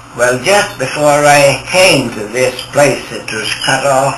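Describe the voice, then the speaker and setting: Speaking at a very slow pace, a man uses a fairly high pitch. Noticeable background noise can be heard. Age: 80s+. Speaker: professional photographer and guide. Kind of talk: storytelling reminiscence.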